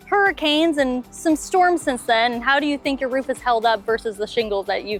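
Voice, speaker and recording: Upbeat tone and lively intonation at a moderate pace, with music in the background. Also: woman. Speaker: roofing company host. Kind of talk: customer interview host.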